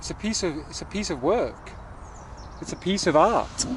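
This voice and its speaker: Noticeable background noise sits beneath this clip. The man's speech is fairly slow, with ordinary pitch variation. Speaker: vlogger reviewing a folding bike. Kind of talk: casual vlog while cycling outdoors. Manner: loud; animated, rambling.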